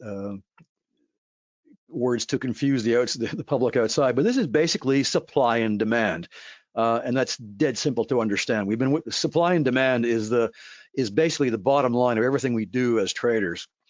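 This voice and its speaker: This man's voice sits at a middle pitch for him, moving somewhat briskly with normal ups and downs in pitch. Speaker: forex trading educator. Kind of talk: webinar presentation. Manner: fast; halting.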